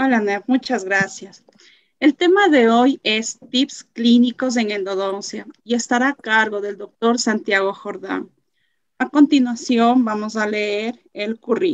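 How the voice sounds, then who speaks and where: A woman speaks very slowly in a fairly high voice with ordinary pitch variation. The sound is dry with no echo, and the background is quiet. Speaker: moderator. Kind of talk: formal intro and closing. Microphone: video call.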